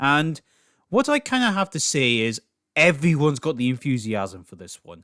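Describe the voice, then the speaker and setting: A man with a Scottish accent at a moderate pace, pitch swinging very widely, in a very clean, dry, close recording with no echo and a silent background. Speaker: political commentary youtuber. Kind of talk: casual commentary monologue.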